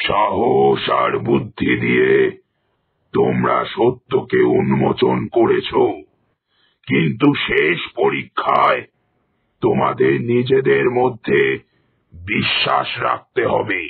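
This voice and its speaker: A man performs a raspy, cartoonish character voice with a menacing, solemn tone. He speaks at a very slow pace. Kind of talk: horror cartoon villain. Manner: commanding, menacing, solemn.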